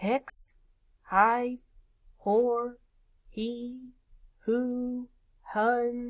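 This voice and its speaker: A female-sounding voice does a put-on character voice in a high pitch. The intonation stays monotone and flat. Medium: read story. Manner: grunting, clipped odd sounds.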